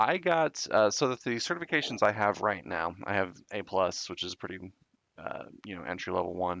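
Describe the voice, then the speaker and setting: An American-accented man with a fairly low pitch talks at a fairly quick pace with lively intonation and big swings in loudness. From Southern California. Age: 30s. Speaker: tech YouTuber, IT professional. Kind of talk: casual chat.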